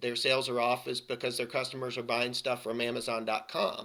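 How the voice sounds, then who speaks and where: Bright and sharp in tone, a man speaks at a medium pitch with fairly even intonation. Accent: Southern US. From US South. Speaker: IT consulting practice director. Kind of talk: podcast interview. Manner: repetitive false starts.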